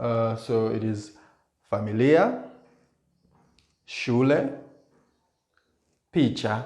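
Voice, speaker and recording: In an East African accent, a medium-pitched man speaks at a very slow pace with long, frequent pauses and ordinary pitch variation, amid audible room echo. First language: Swahili. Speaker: language teacher. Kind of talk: tutorial. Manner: halting.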